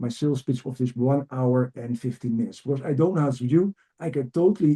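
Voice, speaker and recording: A man's somewhat breathy, dark, mellow voice with a Dutch accent and lively intonation. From Netherlands. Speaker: executive coach and trainer. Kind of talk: webinar presentation. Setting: video call webinar. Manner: energetic, enthusiastic; fast.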